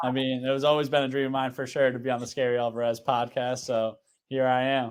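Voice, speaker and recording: With an Upper Midwest accent, a man speaks at a fairly quick pace and medium pitch in a monotone, flat intonation. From Wisconsin, US. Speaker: college basketball player. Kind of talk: casual interview.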